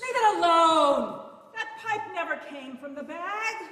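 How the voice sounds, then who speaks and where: A put-on character voice, squeaky and extremely high, delivered at a fairly slow pace. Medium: stage play. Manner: contemptuous, commanding.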